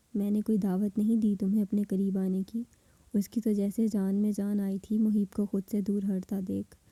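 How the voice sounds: Natural reading voice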